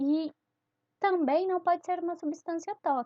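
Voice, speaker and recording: This woman's voice shows ordinary pitch variation. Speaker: teacher. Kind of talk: lecture. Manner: halting, many fillers.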